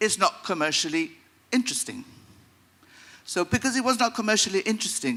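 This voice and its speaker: The voice is raised and projected, bright and sharp in tone, moving at a fairly quick pace with very wide pitch swings. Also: man. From Gibraltar. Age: 60s. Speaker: audience member asking a question. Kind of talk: audience comment at a seminar Q&A. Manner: hesitant, with fillers.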